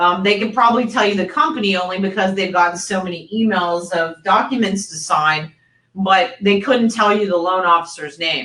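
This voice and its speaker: Female speech in a plain, everyday voice, moderately paced, medium in pitch with ordinary variation. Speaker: mortgage industry presenter. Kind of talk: webinar presentation. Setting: online webinar.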